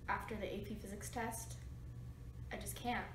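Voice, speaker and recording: Audible room echo fills the recording. Light background noise sits underneath. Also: woman. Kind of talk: casual vlog chat. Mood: stressed, dramatic exasperation. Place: home room.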